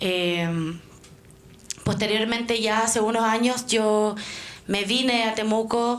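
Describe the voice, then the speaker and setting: A woman speaks at a fairly high pitch with fairly even intonation, and audible room echo surrounds her voice. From Chile, Santiago. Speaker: Mapuche activist and student. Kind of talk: talk to an audience.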